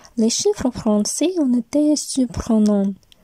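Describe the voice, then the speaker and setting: Speaking at a very slow pace, a woman with a fairly high pitch and lively intonation sounds dry and close with no echo, while noticeable background noise runs underneath. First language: Russian (speaking French). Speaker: university student. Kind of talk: scripted narration.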